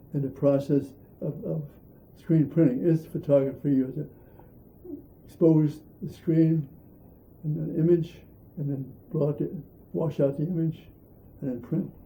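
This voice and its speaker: This man has a dark, mellow tone and a fairly high pitch, somewhat breathy, with fairly even intonation. He talks at a moderate pace, leaving long, frequent pauses. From Pennsylvania, Erie. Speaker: artist. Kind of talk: interview. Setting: at home. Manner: halting.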